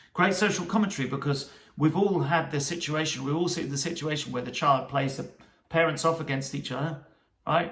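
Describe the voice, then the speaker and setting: A man with a British accent speaks at a fairly high pitch with ordinary pitch variation. His tone is bright and sharp, and his pace is moderate. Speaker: music commentator.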